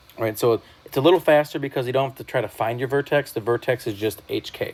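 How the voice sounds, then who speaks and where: At a very fast pace, a man speaks with a medium pitch and ordinary pitch variation. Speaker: math teacher. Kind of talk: recorded lesson. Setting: whiteboard screen recording. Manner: casual.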